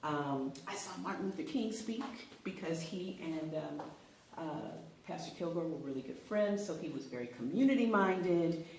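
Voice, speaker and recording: With an American accent and lively intonation, a woman with a fairly low pitch speaks at a moderate pace amid noticeable background noise and audible room echo. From Los Angeles, California. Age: 60s. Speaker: author and acting coach. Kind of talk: interview. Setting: live radio interview.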